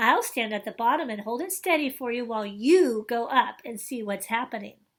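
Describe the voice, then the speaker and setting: Using a put-on character voice, a woman talks at a fairly quick pace in a fairly high pitch with lively intonation. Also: very clean recording, silent background. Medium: read story. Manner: loud, blustering.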